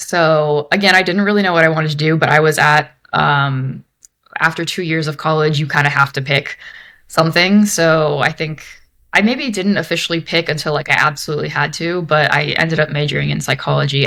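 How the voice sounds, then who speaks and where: A woman with a Mid-Atlantic American accent speaks at a fairly quick pace in a very deep, low pitch, with a bright, sharp tone and fairly even intonation. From Maryland, US (Bethesda, near DC). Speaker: senior product designer. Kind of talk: interview. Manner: casual, with many fillers.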